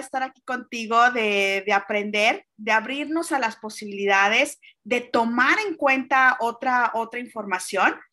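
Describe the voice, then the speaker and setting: The woman's voice is high-pitched, with a bright, sharp tone. She talks at a fairly slow pace with ordinary pitch variation. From Mexico. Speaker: podcast host. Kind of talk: interview.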